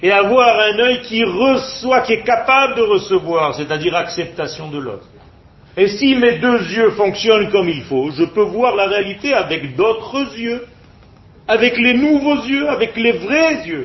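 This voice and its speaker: A man's high voice with very wide pitch swings, fairly slow pace and noticeable background noise. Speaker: religious teacher. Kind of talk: lecture.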